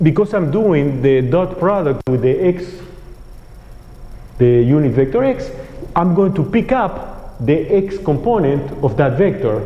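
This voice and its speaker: Amid noticeable background noise and audible room echo, a high-pitched man speaks fairly slowly with long, frequent pauses, very wide pitch swings and very even loudness. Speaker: physics lecturer. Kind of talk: lecture.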